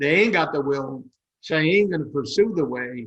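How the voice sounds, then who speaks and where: The man's tone is bright and sharp. His intonation is lively. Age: 80s+. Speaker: business author. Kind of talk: interview. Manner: emphatic.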